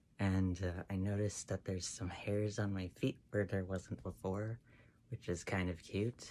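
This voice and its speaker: Fairly slowly, a man speaks in a very deep, low voice with a dark, mellow tone and fairly even intonation. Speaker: transmasculine person documenting voice changes on testosterone. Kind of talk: casual talk to camera.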